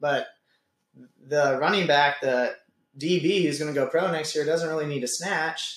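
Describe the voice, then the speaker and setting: With an American accent and an unremarkable speaking voice, a man speaks at a moderate pace in a fairly high pitch. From California. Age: 20s. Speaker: gym owner and fitness coach. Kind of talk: casual chat.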